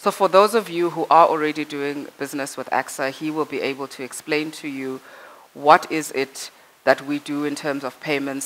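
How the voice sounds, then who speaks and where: At a fairly quick pace, a woman speaks with a very deep, low pitch. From South Africa. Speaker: corporate affairs manager. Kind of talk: workshop presentation. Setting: conference room with microphone. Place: hall. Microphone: headset.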